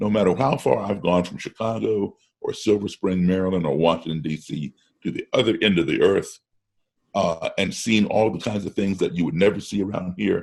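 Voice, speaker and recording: With an American accent and an unremarkable speaking voice, a man talks at a fairly quick pace, fairly low in pitch, with ordinary pitch variation. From grew up partly in Africa and Europe, US-based. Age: 60s. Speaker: musician. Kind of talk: casual chat. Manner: repeats words when starting sentences.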